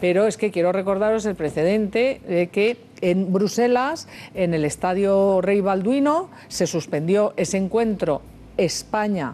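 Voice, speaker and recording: A woman speaks at a fairly slow pace with ordinary pitch variation, very even loudness and a dark, mellow tone. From Spain. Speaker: TV talk show host. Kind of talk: TV news panel discussion. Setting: TV studio. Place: studio. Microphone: headset.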